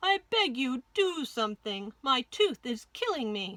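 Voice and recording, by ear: Using a put-on character voice, a woman speaks at a high pitch with big pitch swings, a bright, sharp tone and a fairly slow pace.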